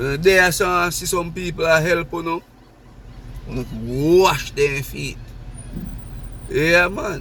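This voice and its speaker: A man with a Jamaican accent speaks at a high pitch and a fairly slow pace, with an animated tone and long, frequent pauses. His loudness swings widely over noticeable background noise and audible room echo. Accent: Jamaican patois. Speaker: vlogger. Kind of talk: casual vlog monologue.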